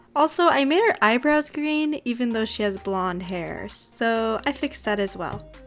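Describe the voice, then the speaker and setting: A woman with a Californian accent speaks at a fairly slow pace, her pitch swinging very widely. Noticeable background noise can be heard. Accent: California dialect, noted on pronouncing gem. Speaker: doll customizer, craft video creator. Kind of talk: tutorial narration.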